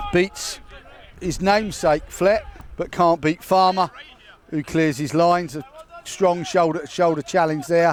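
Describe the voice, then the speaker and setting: A loud man with a high pitch speaks at a fairly slow pace, his intonation fairly even. He takes long, frequent pauses, with noticeable background noise behind him. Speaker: football commentator. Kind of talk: live commentary.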